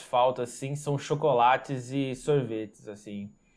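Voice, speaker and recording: Recorded very cleanly against a silent background, a man with a fairly high pitch talks at a fairly slow pace in an ordinary speaking voice. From interior of São Paulo state, Brazil. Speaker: designer and branding agency owner. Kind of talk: podcast interview.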